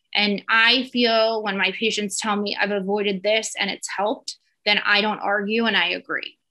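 A woman talks with a New Jersey accent in monotone, flat intonation. The background is quiet. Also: moderate pace. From US Northeast, New Jersey. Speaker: dermatologist. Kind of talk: educational webinar lecture. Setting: video call webinar with screen share. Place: home room. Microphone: webcam.

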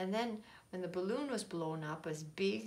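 The speaker reads aloud. It is done in a natural voice.

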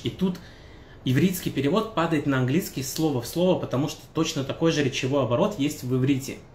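Speech comes at a moderate pace with light background noise and audible room echo. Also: man. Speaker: language teacher. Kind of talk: tutorial. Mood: relaxed, friendly. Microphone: phone near.

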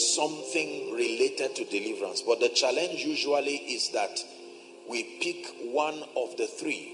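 At a fairly slow pace a man speaks, with clear music in the background. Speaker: preacher. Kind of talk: sermon. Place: church.

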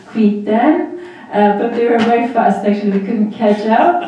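There is strong room echo around a woman whose pitch is fairly high. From Armenia, Vanadzor. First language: Armenian. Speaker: graduate student in public policy, former human rights worker. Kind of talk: panel presentation. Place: hall.

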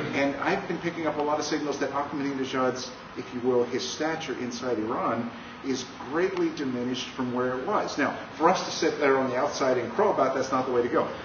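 A man with a fairly high pitch, at a fairly quick pace with ordinary pitch variation, over noticeable background noise. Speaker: pastor and Iran specialist. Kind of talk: panel discussion. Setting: bookstore event with audience.

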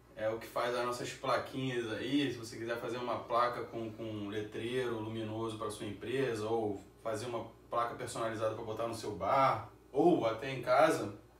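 The delivery is monotone and flat at a moderate pace, with light background noise and audible room echo. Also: man. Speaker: beer channel host. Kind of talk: casual sponsor plug. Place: home room. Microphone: camera far.

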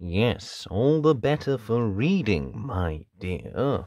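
A man puts on a character voice at medium pitch and talks at a very slow pace. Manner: sneering, sly.

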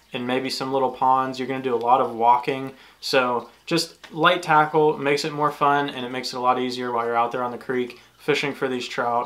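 The delivery is fairly quick and flat in a monotone, with hardly any pauses. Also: man. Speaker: fishing channel host. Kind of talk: tutorial. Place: home room.

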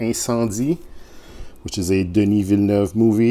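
A man talks at a moderate pace in a dark, mellow tone. His pitch varies in an ordinary way. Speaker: movie collector vlogger. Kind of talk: casual vlog chat. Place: home room. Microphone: phone near.

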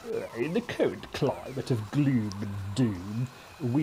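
The speaker uses a natural reading voice.

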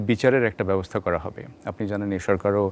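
A man with an unremarkable speaking voice and a fairly low pitch talks with fairly even intonation in a dry sound with no echo, over light background noise. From Bangladesh. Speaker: TV news reporter. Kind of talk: studio news debrief. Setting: TV studio. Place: studio. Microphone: lapel.

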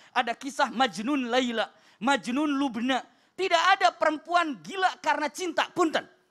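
An extremely high-pitched man speaks with lively intonation and a bright, sharp tone at a moderate pace. His loudness stays very even over a quiet background. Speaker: Islamic preacher. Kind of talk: religious TV sermon. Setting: studio. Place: studio. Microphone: handheld.

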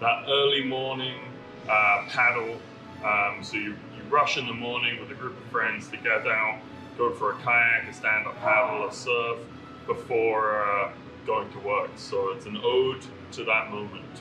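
A man talks at a fairly slow pace with fairly even intonation. Clear music plays in the background. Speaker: brewery host cooking. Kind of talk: tutorial. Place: kitchen.

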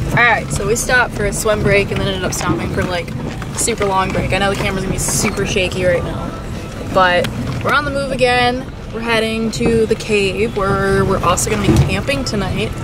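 Over loud background music, a woman speaks at a fairly quick pace with ordinary pitch variation. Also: dry sound with no echo. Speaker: vlogger. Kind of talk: casual vlog chat. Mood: upbeat, excited. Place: car. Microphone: phone near.

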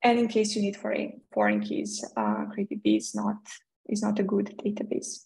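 A woman speaks with a Serbian accent. The background is quiet. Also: moderate pace. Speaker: developer advocate; presenter. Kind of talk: technical talk. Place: home room. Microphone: webcam.

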